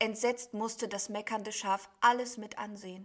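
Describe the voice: Fairly even intonation in plain reading aloud.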